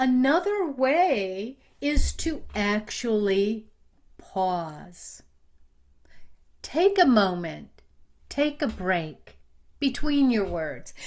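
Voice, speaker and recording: A woman talks at a very slow pace with long, frequent pauses. Her fairly high pitch moves through very wide swings. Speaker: marketing trainer. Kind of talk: online training talk. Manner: steady pace.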